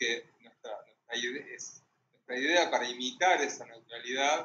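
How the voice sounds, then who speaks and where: Speaking with a Rioplatense accent, a man moves at a fairly slow pace with ordinary pitch variation. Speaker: moderator, translator. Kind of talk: panel discussion. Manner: halting.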